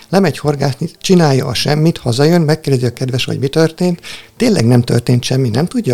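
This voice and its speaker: Noticeable background noise runs behind a man speaking very fast with ordinary pitch variation. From Hungary, Tihany (Lake Balaton). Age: 40s. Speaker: spiritual practitioner and volunteer helper. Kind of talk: casual interview chat.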